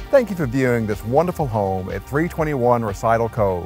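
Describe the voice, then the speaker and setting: Over faint background music, a man talks at a fairly quick pace with lively intonation in a dry sound with no echo. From Memphis, Tennessee. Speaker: realtor. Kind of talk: real estate listing tour narration. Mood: cheerful, friendly. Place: garden. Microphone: lapel.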